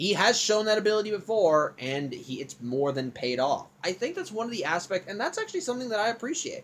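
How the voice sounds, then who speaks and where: A man speaks at a high pitch with very wide pitch swings. He goes at a very fast pace with hardly any pauses. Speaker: video blogger reviewing cartoon episodes. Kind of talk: casual review monologue. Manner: stuttering, halting.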